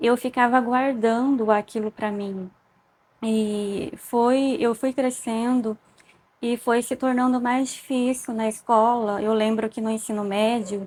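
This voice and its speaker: A woman's very slow delivery in a flat, monotone intonation. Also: fairly high pitch for a woman. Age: 30s. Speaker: evangelical vlogger. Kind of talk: personal testimony. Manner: halting.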